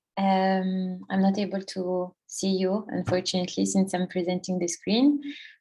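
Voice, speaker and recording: In a French accent, a woman speaks at a fairly slow pace with a medium pitch and a dark, mellow, somewhat breathy tone against a quiet background. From France. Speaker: workshop presenter. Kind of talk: presentation. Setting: online workshop, screen sharing. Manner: halting, many fillers.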